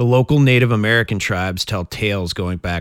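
Male speech at a fairly quick pace with lively intonation. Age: 30s. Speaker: podcast host. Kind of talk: reading aloud; casual chat.

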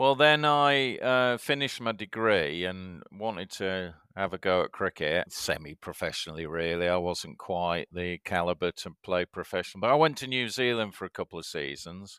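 In a Yorkshire accent, a man with a very deep, low pitch and a bright, sharp tone speaks with lively intonation, the sound dry and close with no echo. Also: moderate pace. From Yorkshire, England. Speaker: media executive. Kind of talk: casual chat. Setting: video call.

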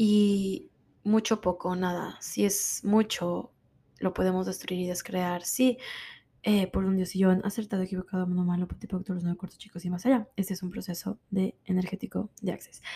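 A woman speaks at a medium pitch and moderate pace, her tone dark, mellow and somewhat breathy. Her intonation is flat and monotone on a very clean recording with a silent background. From Mexico. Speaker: podcast host, wellness coach. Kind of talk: motivational self-help talk.

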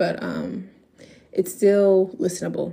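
A woman's medium-pitched voice with a dark, mellow tone, vocal fry and ordinary pitch variation. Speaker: podcast host. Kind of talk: podcast interview. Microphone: echoey audio.

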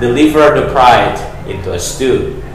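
Over noticeable background noise, a man delivers his lines in a dramatic tone at a fairly slow pace. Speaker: poet reading own work. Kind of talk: poem performed, reading own poetry aloud. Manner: dramatic, poetic cadence with reflective pauses.

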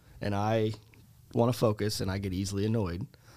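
In a Chicago accent, a man with a fairly low pitch and vocal fry speaks at a moderate pace on a very clean recording with a silent background. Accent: Chicago-area American. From US Midwest, Chicago suburbs. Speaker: teacher and softball coach. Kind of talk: interview.

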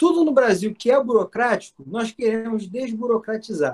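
This man's voice is high in pitch. He speaks at a moderate pace. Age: 20s. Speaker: political candidate and student. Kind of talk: podcast interview.

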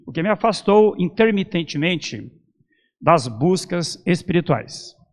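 The background is quiet. A man speaks with high pitch and lively intonation. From Brazil, São Paulo. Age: 60s. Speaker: esoteric lecturer. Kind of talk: lecture. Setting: temple with audience. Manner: formal.

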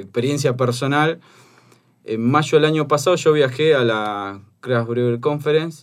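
A man speaks in a plain, everyday voice at a moderate pace with fairly even intonation. The recording is very clean, with a silent background. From Buenos Aires area, Argentina. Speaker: craft brewery owner. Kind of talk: casual chat.

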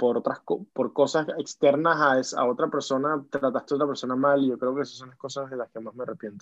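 A man is speaking. His voice is fairly high in pitch. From Venezuela. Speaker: singer-songwriter. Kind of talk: interview. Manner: halting, many repetitions.

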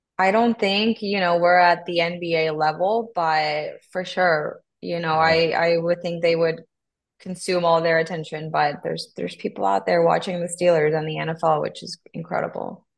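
Speaking with a Spanish accent, a woman keeps a moderate pace. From Honduras. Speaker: sports team content manager. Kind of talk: podcast interview.

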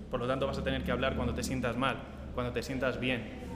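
Noticeable noise sits behind the speaker, a man. His voice carries an audible room echo. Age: 20s. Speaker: team member. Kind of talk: casual group chat.

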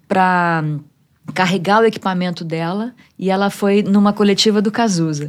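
A woman with an unremarkable speaking voice talks at a moderate pace and medium pitch with fairly even intonation, recorded very cleanly against a silent background. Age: 50s. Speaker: music journalist and radio presenter. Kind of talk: casual chat.

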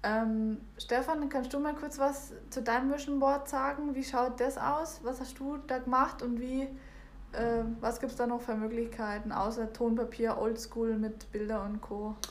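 Her pitch is high for a woman, and she speaks at a fairly slow pace with fairly even intonation amid audible room echo. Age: 20s. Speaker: podcast guest. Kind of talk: casual chat.

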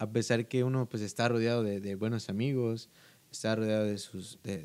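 A fairly quick pace, pitch varying in an ordinary way. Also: man. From Guatemala. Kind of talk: casual chat.

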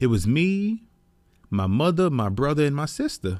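The man's voice sits at a fairly high pitch and swings very widely. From New York City (the Bronx). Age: 30s. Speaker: podcast host. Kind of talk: personal monologue. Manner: casual.

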